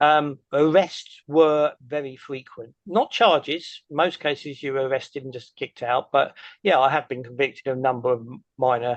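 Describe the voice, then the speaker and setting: This man's pitch sits fairly high as he talks at a moderate pace. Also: ordinary pitch variation. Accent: English. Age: 60s. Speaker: activist. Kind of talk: Q&A answers after a presentation. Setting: meeting with audience.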